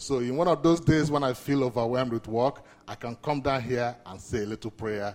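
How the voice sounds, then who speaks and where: Lively intonation marks this man's medium-pitched voice, set in a Nigerian accent. He speaks at a moderate pace. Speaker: community outreach manager. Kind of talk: speech.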